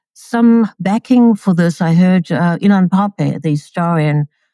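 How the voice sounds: A woman speaks at a fairly slow pace in a fairly low pitch, with ordinary pitch variation, a dark, mellow tone, and a dry, close sound with no echo.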